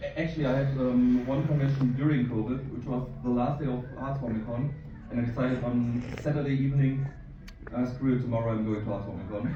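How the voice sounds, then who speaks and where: Speaking very fast, a man with a German accent has a medium pitch and fairly even intonation. There is audible room echo and noticeable background noise. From Germany. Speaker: convention panelist. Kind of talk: convention panel talk.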